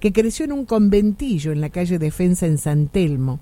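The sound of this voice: A woman speaks at a moderate pace and fairly low pitch, making big pitch swings in a dark, mellow tone.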